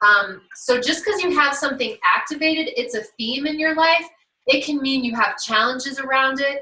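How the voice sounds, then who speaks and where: High-pitched and bright with a sharp tone, a woman's raised voice projects outward. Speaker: life coach presenting at an online summit. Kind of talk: online workshop presentation. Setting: virtual summit livestream.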